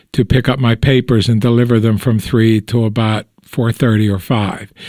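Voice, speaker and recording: A man speaks with a Western Pennsylvania accent at a moderate pace. The sound is dry and close, with no echo. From Pittsburgh, Pennsylvania. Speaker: oral history interviewee. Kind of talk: interview answer. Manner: relaxed, conversational.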